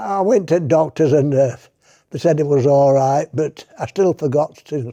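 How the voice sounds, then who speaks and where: A man speaks with a Yorkshire accent. His voice is dark and mellow, fairly high in pitch. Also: quiet background. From Yorkshire, England. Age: 80s+. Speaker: retired shop manager, army veteran. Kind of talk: interview answer.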